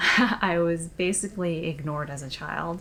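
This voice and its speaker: Soft-spoken, a woman talks at a fairly low pitch with fairly even intonation. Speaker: vlogger. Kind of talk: personal confessional vlog.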